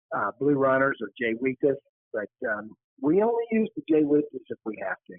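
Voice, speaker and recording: A man's fairly high voice with very wide pitch swings, at a moderate pace. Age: 60s. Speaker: charter fishing captain. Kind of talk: casual fishing report interview. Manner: quiet.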